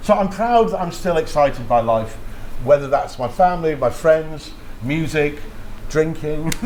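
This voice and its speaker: Amid noticeable background noise and audible room echo, a man speaks at a moderate pace with a fairly high pitch and lively intonation. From Yorkshire, northern England. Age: 60s. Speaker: radio DJ. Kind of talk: casual interview chat. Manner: animated.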